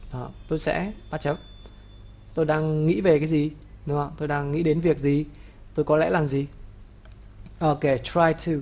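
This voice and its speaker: The speech has long, frequent pauses. Its pace is fairly slow. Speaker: English teacher. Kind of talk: tutorial.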